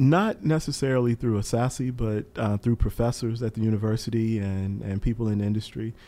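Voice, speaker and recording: Very clean recording with a silent background of a man with an American accent, medium pitch, a dark, mellow tone and fairly even intonation at a moderate pace. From US South, eastern North Carolina. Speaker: professor of aviation safety and accident investigation. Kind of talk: interview.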